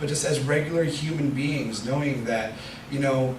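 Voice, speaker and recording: Fairly even intonation against noticeable background noise and audible room echo. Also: man. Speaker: lay preacher. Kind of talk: sermon. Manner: fast.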